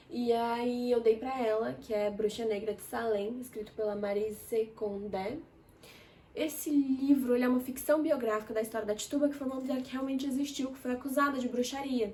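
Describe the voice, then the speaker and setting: A woman talks at a high pitch and a moderate pace. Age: 20s. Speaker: book reviewer. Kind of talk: casual chat. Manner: animated.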